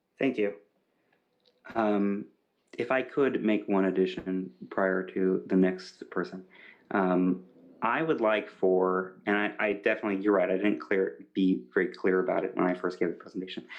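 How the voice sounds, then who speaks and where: A man talks in a normal speaking voice at a fairly low pitch. His pace is moderate, and his pitch varies in an ordinary way. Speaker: pitch presenter. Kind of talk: pitch discussion.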